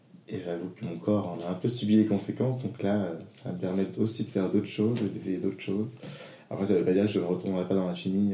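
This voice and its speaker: Amid audible room echo, a man talks fairly quickly in a very deep, low pitch with a dark, mellow tone and ordinary pitch variation. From northern France, Lille. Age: 30s. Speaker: drag queen. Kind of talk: casual interview.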